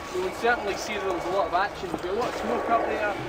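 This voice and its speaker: A man speaks with a high pitch and a Glaswegian accent. Noticeable background noise runs under his voice. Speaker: battlefield tour guide. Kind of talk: guided tour talk. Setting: outdoors on a battlefield. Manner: animated.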